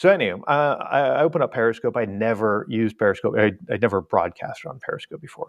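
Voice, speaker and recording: A man with a medium pitch races through his speech at a very fast pace. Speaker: cruise website founder. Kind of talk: podcast interview.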